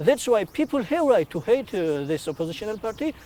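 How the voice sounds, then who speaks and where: With a Georgian accent, the man speaks in a dark, mellow tone. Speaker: activist. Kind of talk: interview. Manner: halting, many hesitations.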